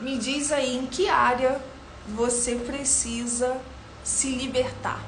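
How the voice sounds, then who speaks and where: A woman's high voice at a very slow pace, fairly even in intonation, with audible room echo and noticeable background noise. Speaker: beauty professional and live-stream host. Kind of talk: live stream Q&A with viewers. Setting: studio.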